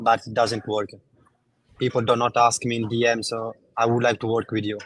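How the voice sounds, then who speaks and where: In an Italian accent, a man talks at a fairly quick pace in a medium pitch, his intonation monotone and flat. The sound is dry and close with no echo. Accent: Italian, non-native English. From Italy. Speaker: network marketer caller. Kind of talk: live call-in coaching. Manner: halting.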